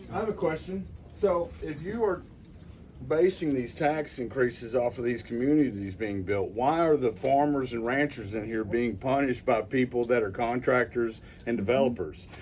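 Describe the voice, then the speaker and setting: Here is a man with a Texan accent. His intonation is lively. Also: medium pitch for a man, moderate pace. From East Texas. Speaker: rancher speaking at public meeting. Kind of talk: public comment at meeting. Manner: animated.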